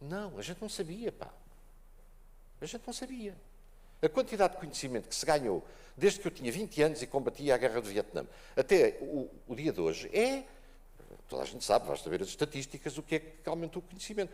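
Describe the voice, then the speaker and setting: A man with a high pitch speaks fairly quickly in an animated tone, his pitch swinging very widely. His loudness varies a lot, and he leaves long, frequent pauses. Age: 70s. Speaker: conference panelist. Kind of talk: panel discussion.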